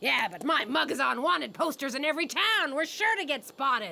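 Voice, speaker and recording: In a cartoonish character voice, a woman talks at a fairly quick pace and high pitch with very wide pitch swings. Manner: brash, folksy, coarse.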